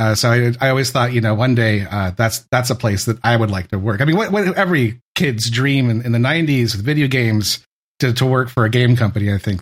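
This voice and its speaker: Somewhat breathy and very fast, the voice carries an American accent with ordinary pitch variation and hardly any pauses, on a very clean recording with a silent background. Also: man, medium pitch for a man. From US West Coast, San Francisco Bay Area. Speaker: former game tech support worker. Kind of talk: casual chat.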